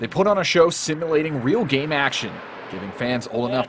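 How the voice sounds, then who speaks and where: A man talks very fast with lively intonation while noticeable background noise continues. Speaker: TV sports anchor and reporter. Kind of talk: news package voiceover narration.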